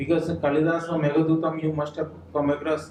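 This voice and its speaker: A man speaks with an Odisha accent at a fairly high pitch, his intonation monotone and flat. Noticeable background noise is present. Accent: Indian English, Odia. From India, Odisha. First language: Odia. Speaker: writer. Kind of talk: speech at a book launch. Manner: halting.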